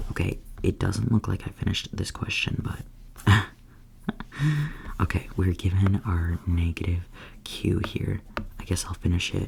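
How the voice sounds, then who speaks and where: The speaker whispers at a fairly slow pace. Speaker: student studying chemistry. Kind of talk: ASMR study session, soft-spoken educational talk. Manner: soft-spoken, casual, hesitant with filler words.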